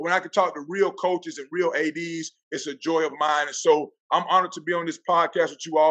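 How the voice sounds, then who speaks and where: Speaking with a Southern US accent, a man has a high pitch and a bright, sharp tone. He moves at a fairly quick pace. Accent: country accent, Southern. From Florida Panhandle, US South. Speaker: athletic director and football coach. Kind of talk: podcast interview. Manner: animated.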